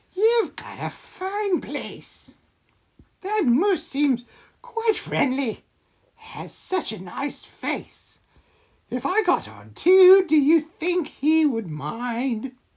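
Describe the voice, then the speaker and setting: Someone puts on a character voice, speaking very slowly in a high pitch. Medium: read story.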